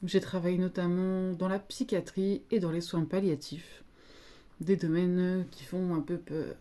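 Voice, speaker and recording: A woman talks at a very slow pace with fairly even intonation. Her loudness swings widely from moment to moment. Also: medium pitch for a woman. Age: 30s. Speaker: psychologist. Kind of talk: casual monologue. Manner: hesitant.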